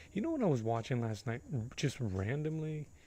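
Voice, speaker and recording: With a dark, mellow tone and lively intonation, a somewhat breathy man talks at a moderate pace. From US Northeast, Boston, Puerto Rican family. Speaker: painting livestreamer. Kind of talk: casual livestream chat. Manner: casual.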